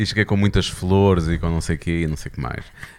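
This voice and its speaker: Fairly quick speech from a man, with pitch varying in an ordinary way. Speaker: podcast co-host and radio presenter. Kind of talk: casual chat.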